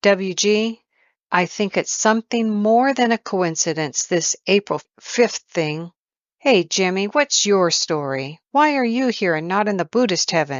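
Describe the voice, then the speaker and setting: A female-sounding voice does a put-on character voice at a middle pitch. The pace is fairly slow. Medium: read story. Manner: wry, teasing.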